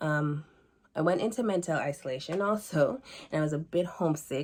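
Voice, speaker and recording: Speaking fairly quickly with a Jamaican accent, a woman uses a very deep, low pitch and lively intonation. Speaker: student. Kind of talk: class presentation.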